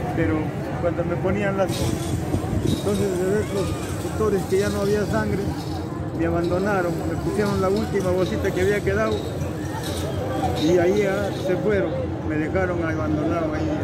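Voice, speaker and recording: A man speaks with long, frequent pauses. Loud background noise runs throughout. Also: moderate pace. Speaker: pilgrim. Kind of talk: interview answer. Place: street. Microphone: phone near.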